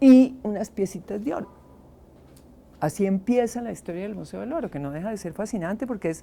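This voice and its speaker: A woman speaks at medium pitch with a dark, mellow tone and lively intonation. Her pace is fairly quick, and her loudness swings widely. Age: 70s. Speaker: archaeologist. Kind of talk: interview. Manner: halting.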